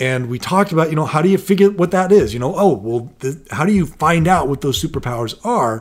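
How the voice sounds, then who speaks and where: Fairly quick and with hardly any pauses, a man talks in a plain, everyday voice. His pitch is fairly high and his intonation lively. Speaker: podcast co-host and parent. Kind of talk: casual podcast discussion with joke reading.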